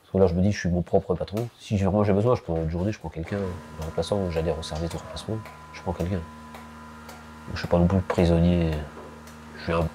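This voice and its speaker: Over noticeable background noise, a man speaks with a very deep, low pitch, fairly even intonation and a fairly quick pace. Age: 40s. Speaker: dairy farmer. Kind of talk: documentary interview. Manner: hesitant, many fillers.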